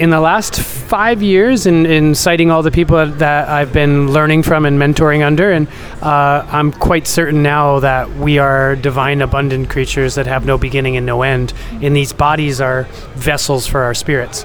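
A man with an American accent speaks at a moderate pace in a fairly high voice, his loudness very even and his intonation fairly even, with audible room echo and noticeable background noise. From New York. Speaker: entrepreneur. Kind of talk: casual interview.

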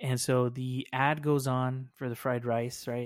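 A man speaks at a medium pitch in a monotone, flat intonation. The recording is very clean with a silent background. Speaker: podcast host. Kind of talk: casual chat.

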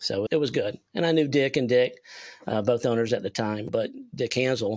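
A man's medium-pitched voice with a South Carolina accent, moderate pace and fairly even intonation, dry and close with no echo, in a very clean recording with a silent background. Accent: Southern US (South Carolina). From US South, South Carolina (Spartanburg). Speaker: sales consultant. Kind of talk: casual interview.

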